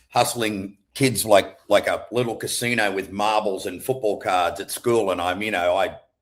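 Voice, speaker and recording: Speaking with an Australian accent at a moderate pace, a man with a fairly low pitch uses fairly even intonation and hardly any pauses, in a very clean recording with a silent background. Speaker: entrepreneur. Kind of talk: casual interview chat.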